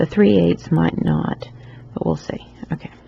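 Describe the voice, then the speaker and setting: A woman speaks with a Southern US accent. Noticeable background noise is present. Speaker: loom knitting tutor. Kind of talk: tutorial. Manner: casual, with many fillers.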